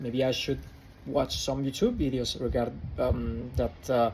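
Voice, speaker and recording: A man of medium pitch with an Italian accent and fairly even intonation. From Italy. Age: 20s. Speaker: vlogger. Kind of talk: casual vlog monologue. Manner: halting, many fillers.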